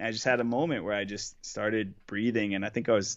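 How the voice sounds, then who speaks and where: Fairly low-pitched man with an American accent and an ordinary speaking voice, moderate pace, fairly even intonation. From Boston, US. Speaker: pro paintball player. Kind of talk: casual chat.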